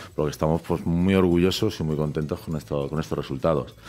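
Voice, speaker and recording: The man talks at a very fast pace. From Alicante, Spain; Spain. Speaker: winemaker; guest. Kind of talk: interview. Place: studio. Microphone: studio mic.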